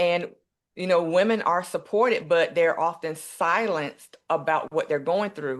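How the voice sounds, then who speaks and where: A plain, everyday voice from a woman with an American accent, fairly low in pitch. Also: ordinary pitch variation, fairly slow pace. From US South, eastern North Carolina. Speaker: nurse and empowerment coach. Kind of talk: interview.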